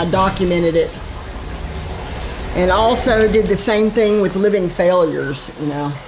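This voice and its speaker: The recording carries noticeable background noise along with audible room echo. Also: woman. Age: 60s. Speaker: gaming streamer. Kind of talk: live gameplay commentary. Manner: casual, chatty with repetitions.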